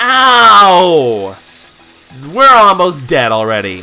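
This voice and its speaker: A man's high-pitched voice with very wide pitch swings, against noticeable background noise. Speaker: let's play commentator. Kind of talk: game commentary.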